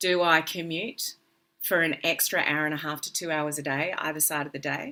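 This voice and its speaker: A woman with an Australian accent, a very deep, low pitch and a bright, sharp tone, at a moderate pace with fairly even intonation. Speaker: business coach. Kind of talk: interview.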